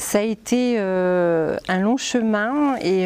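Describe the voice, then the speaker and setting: A woman's voice with a dark, mellow tone comes through against a quiet background. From northeastern France (Reims). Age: 50s. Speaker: numerologist and life coach. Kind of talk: casual interview.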